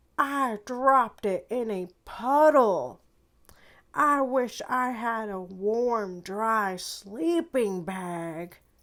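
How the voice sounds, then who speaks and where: A put-on character voice, drawn out at a very slow pace. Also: woman, fairly high pitch for a woman. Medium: read story.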